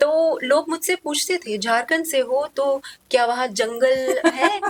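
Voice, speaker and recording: Her voice is high in pitch, and this woman uses lively intonation. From Jharkhand, India (Tatanagar). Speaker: podcast host. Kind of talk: podcast interview.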